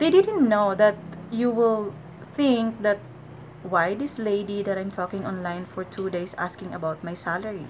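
A woman with a Filipino accent speaks at a moderate pace and medium pitch, her loudness swinging widely over light background noise. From Philippines. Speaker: vlogger. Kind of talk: casual vlog talk to camera. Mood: friendly, advising. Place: home room. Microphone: webcam.

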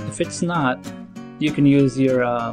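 The speech moves at a fairly slow pace. Music plays in the background. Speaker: tutorial narrator. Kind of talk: tutorial.

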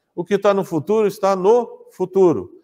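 Fairly slow speech from a man in a quiet background. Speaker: pastor teaching Bible class. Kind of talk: lecture. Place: hall. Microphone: lapel.

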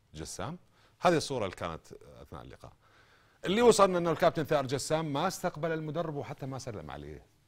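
Over a quiet background, a man with an Iraqi accent speaks at a fairly high pitch with vocal fry. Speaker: sports TV host. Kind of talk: sports talk show interview. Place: studio. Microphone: lapel.

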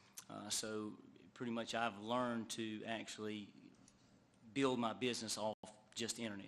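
With an American accent, a man speaks at medium pitch in a monotone, flat intonation and a moderate pace. Long, frequent pauses break his speech, and audible room echo surrounds it. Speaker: motorcycle dealer. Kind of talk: public testimony. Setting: council meeting. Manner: halting, many fillers.

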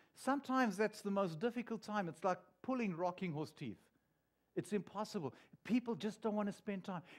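Against a quiet background, a man with a high pitch and a warm tone talks at a fairly quick pace. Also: ordinary pitch variation. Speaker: pastor. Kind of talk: sermon. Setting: church. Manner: warm, earnest, conversational preaching with pauses and repeats. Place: church. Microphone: headset.

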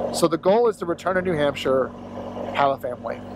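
With an American accent, a man talks at a very fast pace and a fairly high pitch, the sound dry with no echo but noticeable background noise. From Florida. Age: 30s. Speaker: motorcycle vlogger. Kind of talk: vlog monologue while riding. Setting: outdoors on a motorcycle. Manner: halting, many fillers. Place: motorbike. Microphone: helmet.

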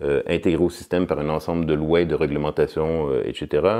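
A man's very deep, low voice with a dark, mellow tone, at a very fast pace over a quiet background. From Quebec, Montreal. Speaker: political science professor; political science professor, interviewee. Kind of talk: interview. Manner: halting, with many repetitions and fillers. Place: studio.

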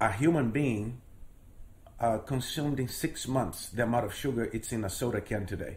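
With a Portuguese accent, a man speaks at a medium pitch in a somewhat breathy voice. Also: ordinary pitch variation, moderate pace. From Brazil, Rio de Janeiro. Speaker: storyteller. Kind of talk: interview.

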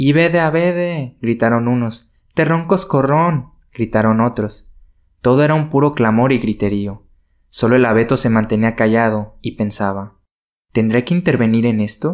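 This man has a normal speaking voice, medium in pitch, moving at a fairly slow pace with lively intonation. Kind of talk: audiobook fairy tale narration. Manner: expressive storyteller, shifts tone for character dialogue.

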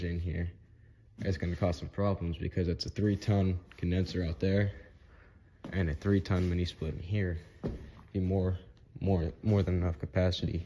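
Very deep and low, a man's somewhat breathy voice moves at a moderate pace with fairly even intonation against light background noise. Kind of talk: casual vlog chat. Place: hall. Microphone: phone near.

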